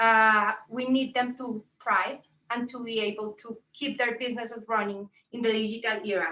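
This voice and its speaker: A woman speaks with a strong Colombian accent. Her tone is bright and sharp, and her pace is moderate. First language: Spanish. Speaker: tech entrepreneur and mentor. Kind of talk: panel talk on video call. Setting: video call. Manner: halting with frequent fillers.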